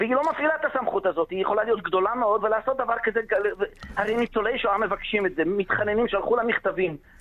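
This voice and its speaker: Over noticeable background noise, a man with a high pitch talks at a very fast pace, his loudness very even and his pitch variation ordinary. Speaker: lawyer. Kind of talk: radio interview. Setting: phone call. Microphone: bad connection, dropping out.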